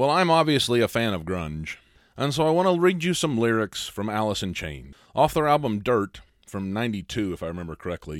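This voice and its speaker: In a very clean recording with a silent background and a dry, close sound with no echo, a man with a Midwestern American accent talks at a fairly quick pace and medium pitch, his pitch swinging very widely. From US Midwest, small town. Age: 30s. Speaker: podcast host, life coach. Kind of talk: solo philosophy podcast monologue.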